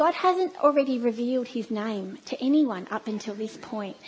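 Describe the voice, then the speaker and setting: A woman with an Australian accent speaks in a high voice with lively intonation over noticeable background noise. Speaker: church speaker. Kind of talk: sermon. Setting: church.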